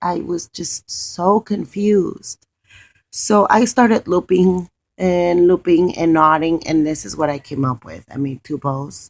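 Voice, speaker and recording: Fairly low in pitch and with a non-native accent, a woman speaks fairly slowly with lively intonation and big swings in loudness, the sound dry and close with no echo. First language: not English. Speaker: craft video creator. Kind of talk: crafting tutorial. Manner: casual, hesitant with fillers.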